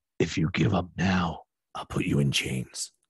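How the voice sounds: Putting on a character voice, a man growls out a raspy, menacing line at a very deep, low pitch and a moderate pace.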